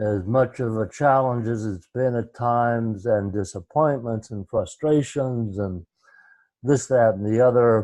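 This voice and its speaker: Against a quiet background, a man with a medium pitch and a dark, mellow tone speaks at a fairly slow pace with ordinary pitch variation. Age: 70s. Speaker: retreat leader on conscious community. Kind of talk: self-introduction on group call. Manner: halting, many fillers.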